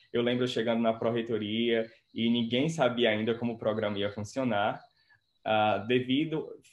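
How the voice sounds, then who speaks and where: At a moderate pace, a man speaks in a plain, everyday voice with a medium pitch and fairly even intonation. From Brazil, Ceará (Quixeramobim). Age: 20s. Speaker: pharmacist and doctoral researcher. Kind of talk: interview.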